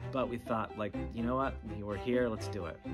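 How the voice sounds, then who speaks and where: Clear music plays in the background while a man speaks. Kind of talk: documentary interview recollection. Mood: relaxed, reflective. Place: classroom.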